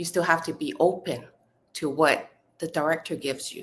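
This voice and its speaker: A woman's very deep, low voice, monotone and flat, at a fairly slow pace. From Hong Kong. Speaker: actress. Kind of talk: interview. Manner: halting, many fillers and restarts.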